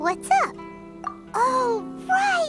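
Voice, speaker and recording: A cartoonish character voice at an extremely high pitch drags along at a very slow pace over loud music in the background. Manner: chatty, excitable.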